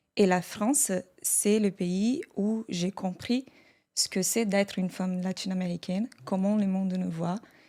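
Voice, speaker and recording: With a Portuguese accent, a woman speaks at a fairly slow pace in a dark, mellow tone on a very clean recording with a silent background. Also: medium pitch for a woman, fairly even intonation. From Brazil. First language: Portuguese (speaking French). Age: 30s. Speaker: podcast guest, translator. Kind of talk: casual podcast conversation.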